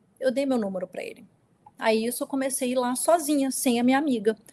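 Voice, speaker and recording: Very fast and high-pitched, a woman talks with ordinary pitch variation in a dry, close sound with no echo. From US, New York (moved from Brazil around age 8). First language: English dominant; Portuguese weaker (speaking Portuguese). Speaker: abuse survivor. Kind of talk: testimony in an interview.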